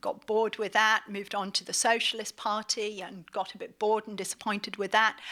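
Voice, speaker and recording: In a British accent, a woman speaks at a fairly quick pace with a bright, sharp tone and fairly high pitch. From northeast England, Middlesbrough. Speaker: magazine editor and lecturer. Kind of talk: lecture.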